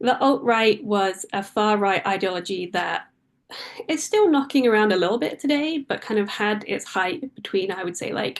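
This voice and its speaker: Speaking at a moderate pace in a British accent, a woman uses a fairly high pitch and lively intonation. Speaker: author and freelance journalist. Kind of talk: book talk interview.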